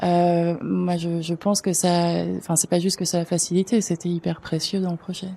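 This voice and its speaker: Recorded very cleanly against a silent background, a woman with a fairly low pitch and a dark, mellow tone talks at a moderate pace in a monotone, flat delivery with hardly any pauses. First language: not French (speaking French). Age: 40s. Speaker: arts education facilitator. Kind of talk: panel discussion. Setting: conference with audience.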